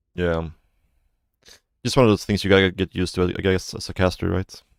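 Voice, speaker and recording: A soft-spoken man with a very deep, low voice talks at a moderate pace, in a dry, close sound with no echo and a very clean recording with a silent background. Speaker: game streamer and caster. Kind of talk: casual live-stream chat.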